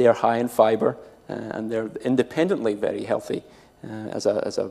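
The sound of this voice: Speaking fast in a Scottish accent, a man with a fairly low pitch has a dark, mellow tone, vocal fry and fairly even intonation.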